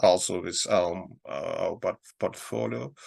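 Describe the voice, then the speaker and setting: A man speaking very slowly in a Russian accent. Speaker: investment advisor. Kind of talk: market analysis talk. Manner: halting.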